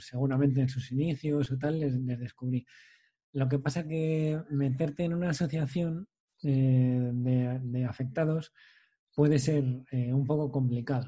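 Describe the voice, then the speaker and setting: Dark, mellow and somewhat breathy, with fairly even intonation, a fairly slow pace and a quiet background. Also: man, medium pitch for a man. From Spain, Valladolid province. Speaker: podcast host, patient with muscular dystrophy. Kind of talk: casual interview conversation.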